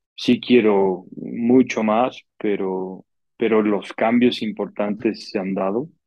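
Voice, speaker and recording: A man's fairly low voice, very slow in pace with fairly even intonation. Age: 30s. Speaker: podcast co-host. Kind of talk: casual chat.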